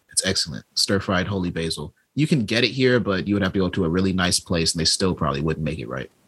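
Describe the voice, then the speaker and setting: Rushing at a very fast pace with hardly any pauses, a man with a very deep, low pitch and vocal fry speaks with lively intonation. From Chicago. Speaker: stand-up comedian. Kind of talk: casual chat.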